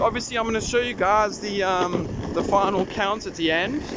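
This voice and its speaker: There is a man talking at a moderate pace in a high pitch. Noticeable background noise and audible room echo are present. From South Africa, Durban. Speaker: YouTuber, electric skateboard reviewer. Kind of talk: vlog commentary while riding. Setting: outdoors, riding an electric skateboard. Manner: casual, animated.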